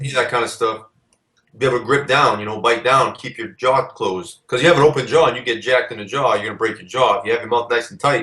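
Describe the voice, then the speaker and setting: A man at a very fast pace, medium pitch and ordinary pitch variation, with a bright, sharp tone and big swings in loudness. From New England. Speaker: strongman, former Marine. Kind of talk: interview.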